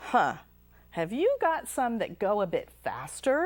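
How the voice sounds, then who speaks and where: Putting on a character voice, a woman speaks at a fairly slow pace in a high pitch. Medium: read story.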